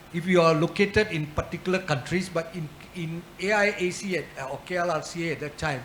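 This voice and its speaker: With noticeable background noise behind him, a man talks at a high pitch with ordinary pitch variation. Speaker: arbitration institution leader. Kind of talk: panel discussion.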